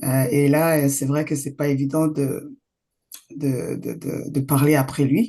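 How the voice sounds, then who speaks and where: A woman speaks at a very slow pace with a very deep, low pitch. Her tone is dark and mellow, her intonation fairly even. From grew up in exile outside Rwanda. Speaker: event patron, activist. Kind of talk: speech. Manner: hesitant, many fillers.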